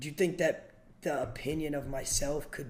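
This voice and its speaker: An American accent marks this man's ordinary speaking voice. He speaks at a fairly quick pace with a fairly high pitch. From Pennsylvania, US (Erie). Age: 20s. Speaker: streamer. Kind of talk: therapy session on livestream.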